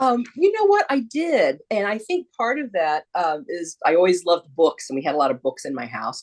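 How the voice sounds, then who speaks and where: A woman with an American accent at a moderate pace, with hardly any pauses and a dry, close sound with no echo. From US Midwest, small rural town. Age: 60s. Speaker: children's book author. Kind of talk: casual video Q&A for schoolchildren.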